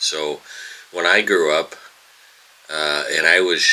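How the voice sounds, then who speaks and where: The speaker is a man with an American accent. Noticeable background noise is present throughout. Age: 70s. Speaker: retired school bus driver, video blogger. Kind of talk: casual vlog monologue. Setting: home, early morning. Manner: halting, many fillers.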